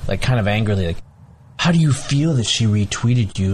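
Ordinary pitch movement from a man, a bit breathy and fairly quick in tempo. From United States, born in Bangladesh. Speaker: geneticist and writer. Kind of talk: casual chat.

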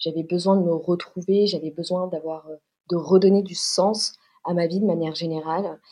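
Woman with a dark, mellow tone, fairly low pitch, monotone, flat intonation and a moderate pace. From Paris, France. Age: 20s. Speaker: fashion designer and leather goods entrepreneur. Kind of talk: podcast interview. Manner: hesitant, many fillers and repetitions.

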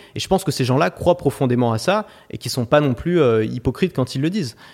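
A man's fairly high voice at a very fast pace, lively in intonation, on a very clean recording with a silent background. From France, Paris. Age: 20s. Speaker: online course entrepreneur. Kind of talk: interview.

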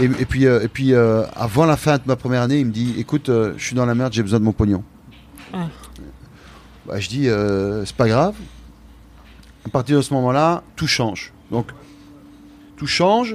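A man speaks at a moderate pace in a medium pitch. His speech has long, frequent pauses. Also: ordinary pitch variation. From Belgium, Liège. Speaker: chef. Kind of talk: interview. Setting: restaurant dining room. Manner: halting.

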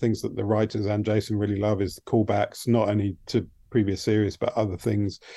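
Dark, mellow tone in an English accent, delivered at a fairly quick pace. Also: man. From England. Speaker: TV production designer. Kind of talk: interview. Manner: halting, many fillers.

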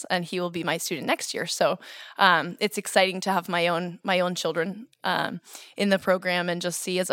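A woman speaks with a plain, everyday voice at medium pitch. Her pace is moderate, on a very clean recording with a silent background. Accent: American. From Boston suburbs, Massachusetts. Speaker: kindergarten Spanish immersion teacher. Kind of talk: interview.

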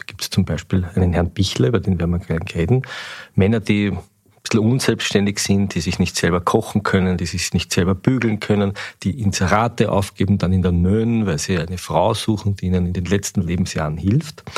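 A man speaks at a fairly quick pace with a very deep, low voice and ordinary pitch variation. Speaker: newspaper editor-in-chief, podcast host. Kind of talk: interview.

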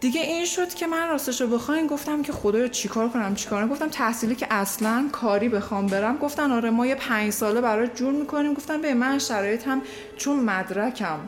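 A high-voiced woman at a very fast pace with hardly any pauses and very even loudness, amid noticeable background noise. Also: ordinary pitch variation. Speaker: podcast guest. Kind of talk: casual chat.

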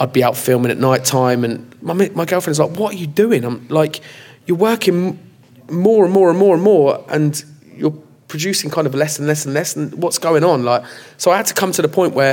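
Talking at a moderate pace in an unremarkable speaking voice, a man has a fairly high pitch with ordinary pitch variation. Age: 30s. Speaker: comedy video creator. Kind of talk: live panel discussion. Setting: stage with audience.

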